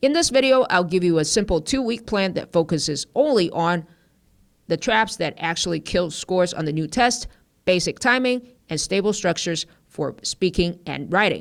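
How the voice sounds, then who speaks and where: A woman's medium-pitched voice at a moderate pace with very wide pitch swings, on a very clean recording with a silent background. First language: not English. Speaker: TOEFL teacher. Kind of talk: tutorial.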